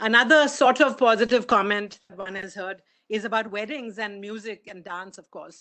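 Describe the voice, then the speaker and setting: A woman speaks with an Indian accent in a bright, sharp tone. Her pace is moderate and her pitch variation ordinary. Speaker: conference speaker. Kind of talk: conference talk.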